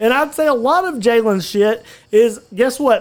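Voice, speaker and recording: A man speaks in an Alabama accent, his pitch high for a man and his intonation lively. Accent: Southern US (Alabama). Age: 20s. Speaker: podcast host. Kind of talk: casual chat. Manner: animated.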